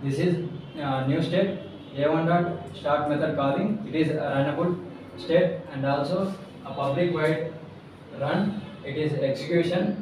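Amid noticeable background noise and strong room echo, a man speaks at a fairly slow pace, his pitch fairly high. His intonation stays fairly even, broken by long, frequent pauses. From Andhra Pradesh, India. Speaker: job candidate; candidate. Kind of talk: mock job interview. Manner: halting. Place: home room.

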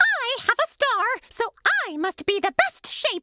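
Faint music plays behind a woman doing a put-on character voice at an extremely high pitch, with a bright, sharp tone, big pitch swings and a fairly slow pace in a dry, close sound with no echo.

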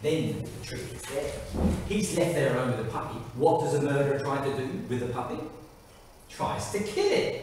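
A man's voice carries strong room echo along with light background noise. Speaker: amateur actor. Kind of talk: theatrical monologue rehearsal. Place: hall. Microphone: camera far.

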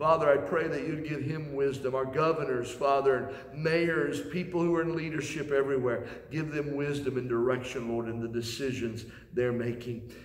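A man's fairly high voice with fairly even intonation at a moderate pace, with audible room echo. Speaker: pastor. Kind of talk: sermon. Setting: church sanctuary, recorded video. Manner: earnest, steady preacher's delivery with pauses and repeated phrases. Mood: earnest, heartfelt. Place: church. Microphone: camera far.

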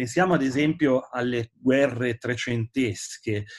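Over a quiet background, a man with a Genoese accent speaks at a very slow pace. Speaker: historian and author. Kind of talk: book presentation interview. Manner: hesitant, many filler sounds. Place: home room. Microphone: webcam.

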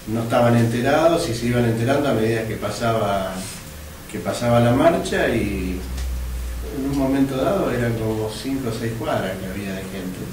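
There is audible room echo around a man's voice. He talks at a moderate pace with a medium pitch.

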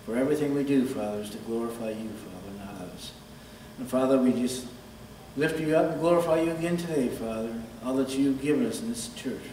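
Speech rushes by at a very fast pace, with big swings in loudness and ordinary pitch variation. Audible room echo and light background noise surround it. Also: man. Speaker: church announcer. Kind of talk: prayer and announcements. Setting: church. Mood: reverent, earnest. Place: church. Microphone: podium.

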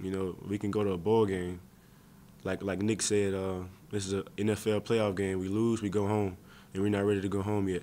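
Against light background noise, a man speaks at a moderate pace in a fairly low pitch, with a dark, mellow tone and monotone, flat intonation. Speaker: college football player. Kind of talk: press interview. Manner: halting, many fillers. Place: meeting room. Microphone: podium.

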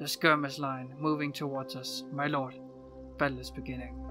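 A man puts on a character voice at a medium pitch and a moderate pace. Clear music runs in the background. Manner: monotone, emotionless.

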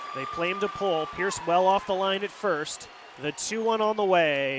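High male voice at a moderate pace with ordinary pitch variation, dry with no echo, crowd noise behind it. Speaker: radio play-by-play announcer. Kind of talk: baseball radio play-by-play. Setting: stadium radio broadcast. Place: booth.

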